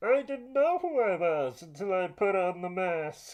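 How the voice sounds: In a put-on character voice, a female-sounding speaker talks at a medium pitch for a woman and a moderate pace.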